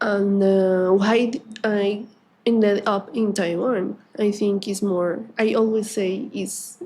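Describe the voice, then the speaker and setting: A woman's dark, mellow voice at a very slow pace, with fairly even intonation. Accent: Spanish. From Colombia. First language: Spanish. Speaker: artist and teacher. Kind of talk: interview. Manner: halting, many fillers.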